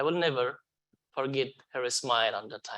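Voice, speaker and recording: A man's bright, sharp voice at a medium pitch and moderate pace, with a non-native accent. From Afghanistan. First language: not English. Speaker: refugee hotel security manager. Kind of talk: onstage interview testimony. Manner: halting.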